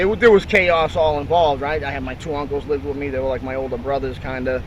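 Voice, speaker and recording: A fairly high-pitched man with a Boston accent at a fairly quick pace, with noticeable background noise and audible room echo. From Boston, South Boston. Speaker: former prisoner sharing life story. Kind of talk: interview testimony.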